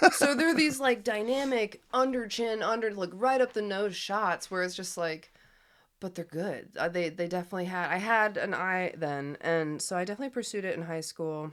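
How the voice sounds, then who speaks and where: With an American accent, a woman talks at a moderate pace in an unremarkable speaking voice, her medium pitch carried by lively intonation on a very clean recording with a silent background. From US Midwest. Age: 30s. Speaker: artist and musician. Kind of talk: casual chat.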